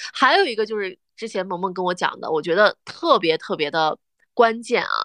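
A woman with a plain, everyday voice at a medium pitch and a moderate pace, with a dry, close sound, no echo and a quiet background. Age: 30s. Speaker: podcast co-host. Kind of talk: casual chat.

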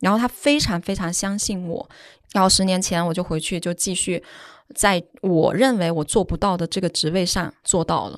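Speech comes at a moderate tempo. Nothing much can be heard behind it. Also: woman, medium pitch for a woman, ordinary pitch variation. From Guangdong, China. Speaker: advertising executive. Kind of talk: interview. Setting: studio. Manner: relaxed.

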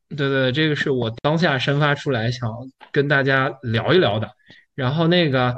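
In a normal speaking voice, a man with fairly high pitch and ordinary pitch variation speaks at a moderate pace over a quiet background. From Yunnan, China (Kunming). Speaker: entrepreneur. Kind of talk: casual chat.

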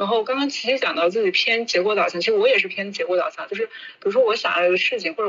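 There is noticeable background noise behind the voice. A woman talks at a very fast pace. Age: 30s. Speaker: media worker. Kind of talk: casual chat.

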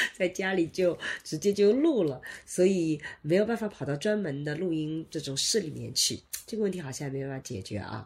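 Lively intonation marks this somewhat breathy voice, which proceeds at a moderate pace. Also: woman. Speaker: sociology professor and podcast co-host. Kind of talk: casual chat. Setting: studio with microphones. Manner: varying loudness, moves around the mic.

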